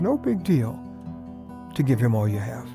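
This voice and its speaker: Over background music, a man talks at a fairly quick pace with lively intonation. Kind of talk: devotional radio talk. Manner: fast.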